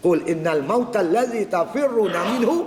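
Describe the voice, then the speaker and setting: A man talks with lively intonation. Noticeable background noise runs underneath. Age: 60s. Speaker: religious teacher. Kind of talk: religious lecture. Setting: mosque prayer hall.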